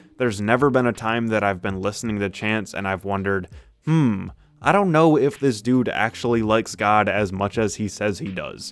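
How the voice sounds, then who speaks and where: A fairly low-pitched man at a moderate pace with ordinary pitch variation, an ordinary speaking voice, on a very clean recording with a silent background. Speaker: music reviewer. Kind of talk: opinion review rant.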